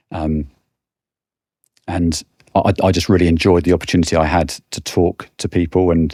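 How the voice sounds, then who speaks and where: In a British accent, the speaker's dark, mellow tone stays monotone and flat at a moderate pace, broken by long, frequent pauses, in a dry, close sound with no echo. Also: man, very deep, low pitch for a man. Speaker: financial services sales director. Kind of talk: podcast interview. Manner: halting, frequent repetitions.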